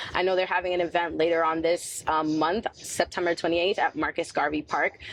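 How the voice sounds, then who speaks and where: In a New York accent, a woman with fairly low pitch talks at a fairly quick pace. Her intonation is monotone and flat, and her loudness stays very even. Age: 30s. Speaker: community activist and poet. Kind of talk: interview. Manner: casual, lots of fillers.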